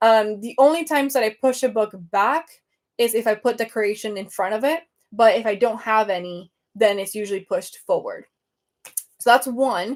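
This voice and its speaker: A woman with a Venezuelan accent speaks at a moderate pace. Her pitch is fairly high, with ordinary variation. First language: Spanish. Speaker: book content creator. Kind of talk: casual livestream chat. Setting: live video stream. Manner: animated.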